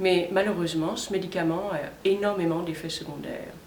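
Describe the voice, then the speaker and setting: Against noticeable background noise and audible room echo, a woman speaks in a fairly low pitch with fairly even intonation. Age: 60s. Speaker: customer testimonial. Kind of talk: testimony.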